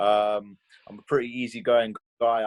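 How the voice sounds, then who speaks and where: A man speaks with a strong British accent at a medium pitch, his intonation monotone and flat. The sound is dry and close, with no echo. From England. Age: 20s. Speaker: mixed martial arts fighter. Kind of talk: interview. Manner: hesitant, many fillers and repetitions.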